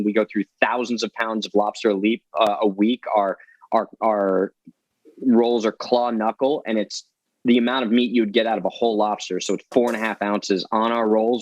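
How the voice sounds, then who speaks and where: An animated man with a New Jersey accent talks at a fairly quick pace and medium pitch. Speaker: chef and seafood restaurant owner. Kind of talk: cooking show chat. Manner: fast, animated.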